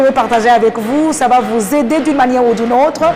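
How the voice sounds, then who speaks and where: A woman speaks with a Rwandan accent at a fairly quick pace and ordinary pitch variation. Audible room echo and noticeable background noise surround her voice. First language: Kinyarwanda (speaking French). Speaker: interview guest. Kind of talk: interview.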